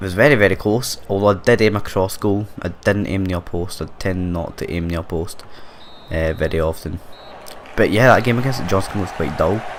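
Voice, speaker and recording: This man has a very deep, low pitch and a Scottish accent. There is noticeable background noise behind him. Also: ordinary pitch variation, moderate pace. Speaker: gaming YouTuber. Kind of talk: gameplay commentary, casual chat. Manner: quiet, hesitant with fillers.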